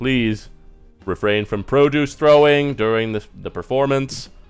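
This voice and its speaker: A booming put-on character voice from a man, medium in pitch, at a moderate pace over faint music in the background. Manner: stern, authoritative.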